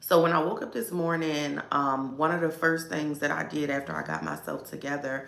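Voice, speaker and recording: A woman's very deep, low voice with an American accent, vocal fry, ordinary pitch variation, a moderate pace and audible room echo. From Baltimore, US. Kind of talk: casual livestream talk. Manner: filler-heavy, conversational.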